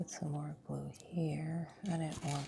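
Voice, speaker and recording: Noticeable background noise beneath a very slow pace. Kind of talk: ASMR crafting video, casual talk to camera. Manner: soft-spoken, whispering.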